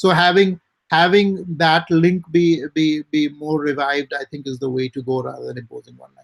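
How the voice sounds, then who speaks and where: Speaking with an Indian accent at a moderate pace, a man with a fairly high pitch and ordinary pitch variation shows big swings in loudness, recorded dry and close with no echo. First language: Hindi. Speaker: writer and publisher. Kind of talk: interview.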